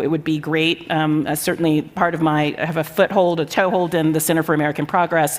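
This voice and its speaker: With noticeable background noise, a woman of fairly low pitch talks at a very fast pace in a monotone, flat intonation. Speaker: social science professor, panelist. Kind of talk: panel discussion.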